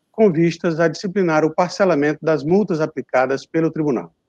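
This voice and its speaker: Speaking at a moderate pace with ordinary pitch variation, a man is recorded in a dry sound with no echo against a quiet background. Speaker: prosecutor at audit court; court councillor or rapporteur. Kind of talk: formal court session. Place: office.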